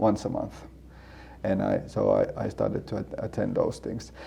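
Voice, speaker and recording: A man talks at a moderate pace. He speaks with a Swedish accent. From Finland, Helsinki. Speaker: seminary student and church planter. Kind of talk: casual interview. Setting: in-person sit-down interview. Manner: halting, many repeated words.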